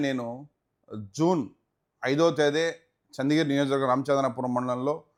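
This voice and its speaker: A man with a plain, everyday voice speaks at a fairly high pitch, keeping his intonation fairly even and his loudness very even. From Tirupati, Andhra Pradesh (Rayalaseema), India. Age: 40s. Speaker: businessman and politician. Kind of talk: interview.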